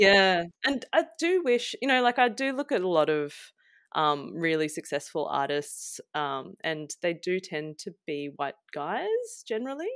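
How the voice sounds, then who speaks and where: Recorded dry and close with no echo against a silent background, a woman speaks at a fairly slow pace in a fairly low pitch, her voice swinging very widely in pitch. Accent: Australian. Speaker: illustrator and environmental campaigner. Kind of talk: casual interview.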